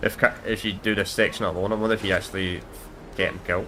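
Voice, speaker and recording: This man has a Scottish accent. His tone is bright and sharp. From Scotland. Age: 20s. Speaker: gamer streamer. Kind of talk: casual gameplay commentary. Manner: casual, rambling repetitions.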